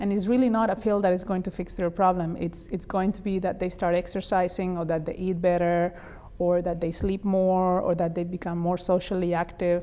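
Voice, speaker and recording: Speaking in a Spanish accent, a woman talks at a fairly quick pace with monotone, flat intonation. Her voice sits at a medium pitch and has a dark, mellow tone. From Spain. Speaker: neurologist. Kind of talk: interview.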